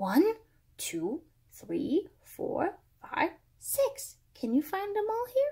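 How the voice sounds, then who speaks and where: Woman in a put-on character voice, extremely high in pitch and very slow. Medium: read story.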